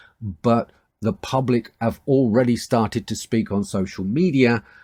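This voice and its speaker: A man with a British accent and a dark, mellow tone, ordinary pitch variation, on a very clean recording with a silent background and a dry, close sound with no echo. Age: 60s. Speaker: online news commentator. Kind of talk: opinion monologue to camera.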